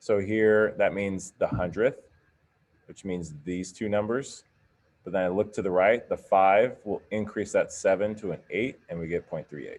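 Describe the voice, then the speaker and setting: A man speaks at a fairly low pitch with fairly even intonation, though his loudness swings widely. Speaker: math teacher. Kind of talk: classroom lecture. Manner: casual, with fillers; fast.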